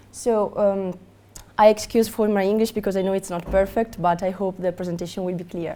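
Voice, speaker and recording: A woman speaks at a fairly quick pace with an Italian accent. Her tone is dark and mellow, and her intonation is fairly even. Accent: Italian accent, non-native English. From Italy. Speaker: research scientist at a medical device company. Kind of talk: conference presentation. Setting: conference hall with audience. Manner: halting, many fillers.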